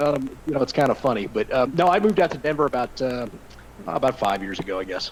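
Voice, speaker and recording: A man with a strong Southern US accent speaks at a medium pitch, his pitch swinging very widely. Noticeable background noise runs underneath. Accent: thick Southern drawl. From Arkansas. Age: 30s. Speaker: NFL insider. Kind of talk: podcast interview. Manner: hesitant, many fillers.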